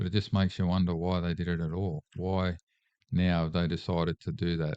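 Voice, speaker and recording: Against a quiet background, a dark, mellow voice speaks in a monotone, flat way at a fairly quick pace, with a dry, close sound and no echo. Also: man, very deep, low pitch for a man. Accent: Australian. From Australia, Sydney area. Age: 60s. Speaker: political candidate. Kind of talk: casual chat.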